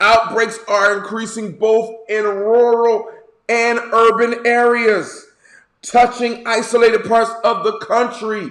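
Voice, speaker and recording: Extremely high pitch from a man, very slow pace, with audible room echo. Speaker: bishop, online encouragement video host. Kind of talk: casual video monologue with news commentary. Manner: animated.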